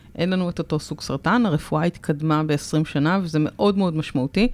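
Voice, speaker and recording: With a normal speaking voice, a woman talks at a moderate pace in a fairly low pitch, her pitch variation ordinary. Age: 30s. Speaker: podcast host, breast cancer survivor. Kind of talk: casual chat. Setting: radio studio.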